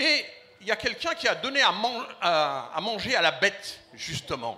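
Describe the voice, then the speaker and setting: A man speaks in a raised, projected voice. His pitch swings very widely. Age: 60s. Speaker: community association leader, audience member. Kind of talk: audience comment at a public debate. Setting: festival stand with live audience. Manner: hesitant, repeats words.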